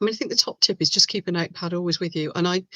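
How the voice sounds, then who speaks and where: A woman speaks with an English Midlands accent and a bright, sharp tone. The sound is dry and close, with no echo. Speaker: resin crafter and online seller. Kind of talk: live stream chat. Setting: home webcam live stream. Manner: animated.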